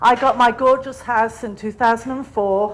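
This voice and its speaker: Fairly slow, fairly even speech in a non-native accent. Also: woman. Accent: foreign. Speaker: public commenter, retired park ranger. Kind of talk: public comment. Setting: public meeting.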